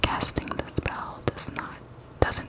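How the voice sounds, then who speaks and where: Noticeable background noise is present. Through it, a woman whispers fairly slowly. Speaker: ASMR creator. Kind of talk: reading aloud. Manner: whispering; soft-spoken.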